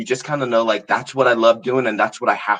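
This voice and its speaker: With an American accent and an unremarkable speaking voice, a man talks in a medium pitch with fairly even intonation. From US Virgin Islands. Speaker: artist and interviewer. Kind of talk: casual chat.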